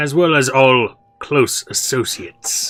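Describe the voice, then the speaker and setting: A man puts on a character voice, fairly high in pitch. His pace is fairly slow. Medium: actual play. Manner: condescending and menacing.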